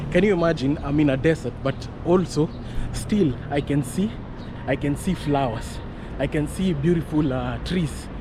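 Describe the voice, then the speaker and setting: A man speaks at a moderate pace with ordinary pitch variation, noticeable background noise behind him. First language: not English. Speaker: vlogger. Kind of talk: casual vlog walk-and-talk. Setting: outdoors on street.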